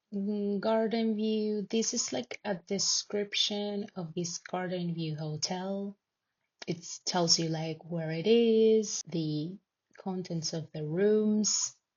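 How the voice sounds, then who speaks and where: With a Spanish accent, a woman speaks at a very slow pace in a somewhat breathy, medium-pitched voice with ordinary pitch variation. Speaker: tech company team member. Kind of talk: screen-recorded tutorial. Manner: casual, with many filler words.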